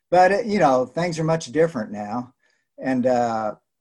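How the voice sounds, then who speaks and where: Speaking fairly slowly, a man with a fairly high pitch uses lively intonation. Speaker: sportswriter. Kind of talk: interview. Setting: video call.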